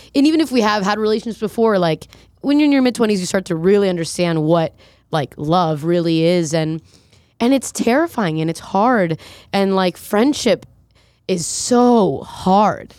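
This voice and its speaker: With lively intonation and a normal speaking voice, a woman of medium pitch talks at a moderate pace in a very clean recording with a silent background. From South Florida. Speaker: musician. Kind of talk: casual chat.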